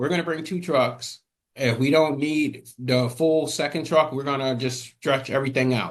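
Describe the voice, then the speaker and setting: A man with a plain, everyday voice, fairly high pitch, fairly even intonation and a moderate pace. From Atlanta, US South. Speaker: former mover and music studio owner. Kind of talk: podcast interview.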